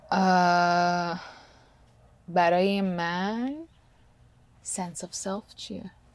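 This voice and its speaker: A woman speaks at a very slow pace, with long, frequent pauses. The recording is very clean, with a silent background. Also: fairly low pitch for a woman, fairly even intonation. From Canada. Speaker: podcast co-host. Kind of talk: casual chat. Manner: halting, searching for Persian words.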